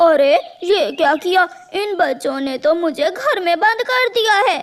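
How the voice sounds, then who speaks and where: This is a cartoonish character voice with an extremely high pitch. It moves along at a moderate pace. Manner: smooth, cajoling.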